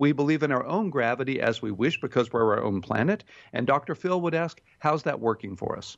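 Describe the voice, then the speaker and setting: Someone with an ordinary speaking voice talks at a fairly quick pace with an American accent. The intonation is lively. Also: man. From Texas, Houston. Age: 60s. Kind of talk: radio interview.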